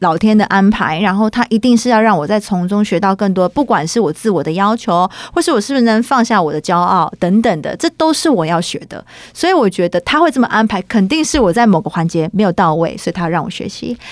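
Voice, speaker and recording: A woman speaks at a fairly quick pace with hardly any pauses, her medium-pitched voice carrying lively intonation. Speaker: singer-songwriter. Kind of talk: interview. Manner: animated.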